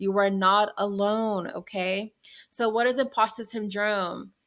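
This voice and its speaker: A woman speaks at a fairly slow pace with a medium pitch. She has a plain, everyday voice. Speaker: business and mindset coach. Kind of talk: tutorial. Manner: casual, with fillers.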